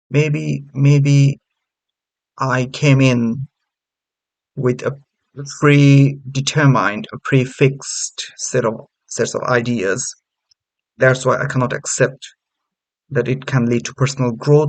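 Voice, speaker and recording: With a non-native accent, a man speaks at a medium pitch and very slow pace. His intonation is fairly even, and his pauses are long and frequent. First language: not English. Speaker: channel host testing a chatbot. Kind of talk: casual commentary. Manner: halting.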